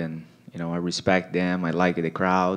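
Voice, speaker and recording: The speech has a Portuguese accent and a moderate pace. Its intonation is monotone and flat. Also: man. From Brazil. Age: 30s. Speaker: mixed martial arts fighter. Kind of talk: post-fight press interview. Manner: halting, many fillers and repeats. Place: meeting room. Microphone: handheld.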